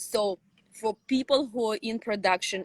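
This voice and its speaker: Speaking at a fairly slow pace in a Russian accent, a woman sounds dry and close, with no echo. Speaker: sci-fi author. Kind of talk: interview.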